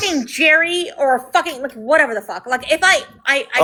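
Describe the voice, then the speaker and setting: A woman speaks in a raised, projected voice at a high pitch. Her pace is fairly quick and her intonation lively. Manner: profane, argumentative.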